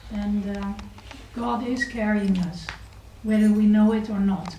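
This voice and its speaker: Amid audible room echo and noticeable background noise, a woman talks at a fairly slow pace in a medium pitch. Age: 40s. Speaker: spiritual teacher. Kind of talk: lecture. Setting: temple with audience.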